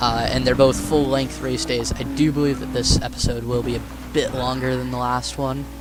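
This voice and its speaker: There is noticeable background noise and audible room echo. Through it, a man speaks at a moderate pace. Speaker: gaming YouTuber. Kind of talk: gameplay commentary. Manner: monotone.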